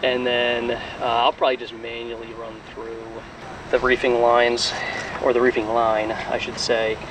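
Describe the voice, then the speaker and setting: A man at a fairly slow pace, dry sound with no echo, and noticeable background noise. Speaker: boat owner vlogger. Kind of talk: casual vlog chat. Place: boat. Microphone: phone near.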